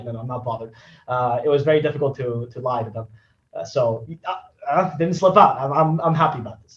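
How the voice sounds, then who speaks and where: A man talks very fast with a slight Spanish accent. His pitch variation is ordinary. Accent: barely any Spanish accent in English. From Spain, Barcelona. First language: Spanish and Catalan. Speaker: esports caster. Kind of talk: podcast interview. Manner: halting, many repeated words.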